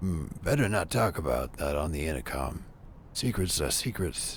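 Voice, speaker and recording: Over clear background noise, a man puts on a raspy, breathy character voice with a very deep, low pitch, lively intonation and a moderate pace. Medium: game stream. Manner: stammering, apologetic, nervous.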